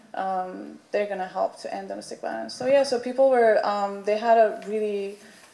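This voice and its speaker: Speaking at a moderate pace with hardly any pauses, a woman has a dark, mellow tone and medium pitch with ordinary variation. Her loudness swings widely, and the room echo is audible. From Iran. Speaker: artist, panelist. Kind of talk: panel presentation. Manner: halting, many fillers.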